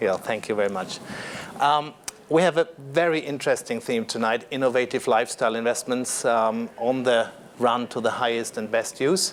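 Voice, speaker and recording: Noticeable background noise sits behind a man with a German accent. He talks at a moderate pace and medium pitch with ordinary pitch variation. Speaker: panel moderator. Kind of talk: panel introduction. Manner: halting, many fillers.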